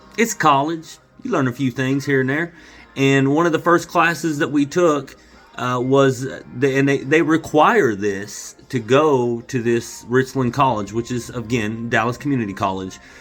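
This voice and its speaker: Medium-pitched male voice at a moderate pace with ordinary pitch variation and music in the background. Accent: American. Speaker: vlogger. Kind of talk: casual monologue to camera. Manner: loud; animated.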